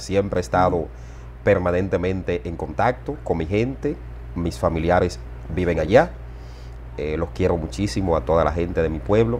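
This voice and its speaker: Long, frequent pauses break up this moderately paced speech, which carries lively intonation and vocal fry over light background noise. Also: man, very deep, low pitch for a man. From Dominican Republic, Dajabón border area; Dominican Republic. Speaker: journalist and political analyst; journalist, political analyst. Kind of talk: interview. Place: home room. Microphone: lapel.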